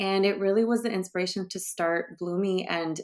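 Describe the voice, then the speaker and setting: Her pitch medium and intonation fairly even, a woman talks at a moderate pace with a Californian accent. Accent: Californian American English. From US West Coast, San Francisco Bay Area. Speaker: sexologist and brand founder. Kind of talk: interview.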